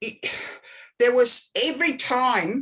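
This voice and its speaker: In an Australian accent, a woman speaks at a very slow pace. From Australia, Sydney Northern Beaches. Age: 60s. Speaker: psychic. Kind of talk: casual chat.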